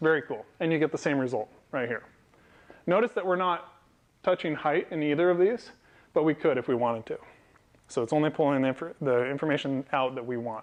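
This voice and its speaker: Long, frequent pauses break up a man's very fast delivery, his pitch fairly high with ordinary pitch variation. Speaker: software developer and meetup speaker; speaker. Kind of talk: technical talk to a live audience. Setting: meetup event with audience. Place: meeting room. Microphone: lapel.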